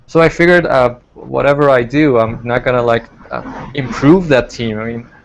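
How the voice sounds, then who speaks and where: A man at a moderate pace, medium pitch and ordinary pitch variation, over noticeable background noise. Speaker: online baseball league team manager. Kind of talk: casual interview. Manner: halting, many fillers.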